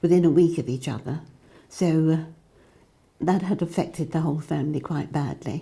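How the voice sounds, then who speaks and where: A woman's somewhat breathy, fairly low voice with a dark, mellow tone, at a moderate pace, in a very clean recording with a silent background. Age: 80s+. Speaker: community member. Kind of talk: testimony.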